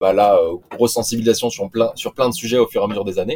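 His tone is dark and mellow. The man's intonation stays fairly even. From Nice, southern France. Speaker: environmental science graduate, expedition crew member. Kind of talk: interview. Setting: remote call from a moored sailboat. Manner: halting, many fillers.

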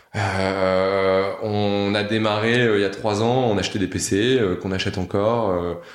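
In a room with audible echo, a man speaks in a fairly low voice with monotone, flat intonation. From northern France. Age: 30s. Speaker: company founder. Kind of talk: casual interview. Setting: office room. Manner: halting, many fillers and repetitions. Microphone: room echo.

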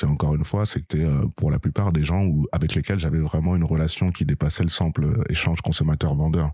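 Speaking fairly quickly, a man with a very deep, low pitch is heard over noticeable background noise. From Paris region, eastern suburbs (Seine-et-Marne). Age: 30s. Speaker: former cannabis dealer. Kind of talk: interview.

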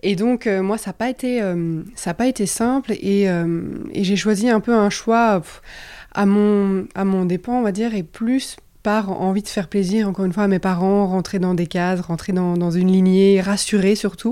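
A woman speaks at a fairly slow pace. Her tone is dark and mellow, with fairly even intonation. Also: medium pitch for a woman. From Belgium. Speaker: enneagram coach and trainer. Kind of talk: interview conversation. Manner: halting, many repetitions and fillers.

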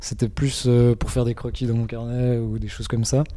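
In a dark, mellow tone, a man speaks at medium pitch and a moderate pace. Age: 20s. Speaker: comic book artist. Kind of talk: interview. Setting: comic festival. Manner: halting.

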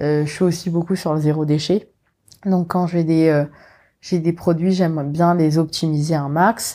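A woman speaks at a fairly slow pace in a fairly low, dark and mellow voice, her intonation monotone and flat, on a very clean recording with a silent background. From Mauritius. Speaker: food influencer. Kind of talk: interview. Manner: hesitant, many fillers.

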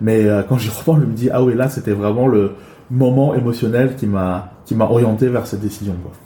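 A man of medium pitch talks at a moderate pace with fairly even intonation, amid audible room echo and noticeable background noise. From China, moved to France at 11. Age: 40s. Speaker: improv actor and trainer. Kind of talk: interview.

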